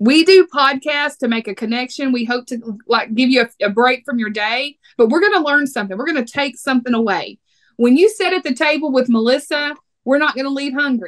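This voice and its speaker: A woman speaks with a Texas accent at a moderate pace. Her pitch is high for a woman, and the sound is dry and close with no echo. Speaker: podcast host. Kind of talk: casual podcast chat. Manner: animated.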